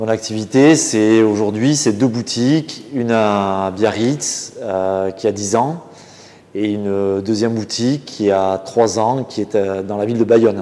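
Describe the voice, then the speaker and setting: A man talks at a very slow pace in a fairly low voice with fairly even intonation. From French Basque Country. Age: 40s. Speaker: butcher and caterer. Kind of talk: interview answer. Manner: hesitant, casual. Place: kitchen. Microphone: lapel.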